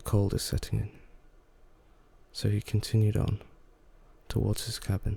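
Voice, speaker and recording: A soft-spoken man talks at a moderate pace. He leaves long, frequent pauses. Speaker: ASMR creator. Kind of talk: soft-spoken ASMR story reading. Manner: soft-spoken, calming.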